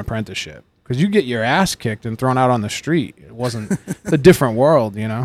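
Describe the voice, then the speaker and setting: A man with an ordinary speaking voice talks at a medium pitch and moderate pace with lively intonation. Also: very clean recording, silent background. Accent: American. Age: 30s. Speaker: tattoo artist and shop owner. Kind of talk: casual chat. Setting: tattoo shop.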